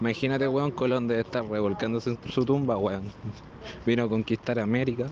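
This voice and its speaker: A man speaks in a Chilean accent with fairly even intonation. Noticeable background noise can be heard. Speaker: vlogger. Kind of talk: casual monologue.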